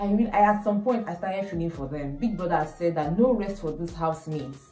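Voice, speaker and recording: A woman speaks at a fairly quick pace in a fairly low pitch, with ordinary pitch variation. There is audible room echo and music in the background. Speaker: entertainment news vlogger. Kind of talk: casual commentary monologue. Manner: fast.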